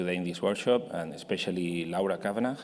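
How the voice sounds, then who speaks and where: A man's very deep, low voice in a Spanish accent, at a very fast pace with fairly even intonation and audible room echo. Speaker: industry representative. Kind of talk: conference presentation. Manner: halting.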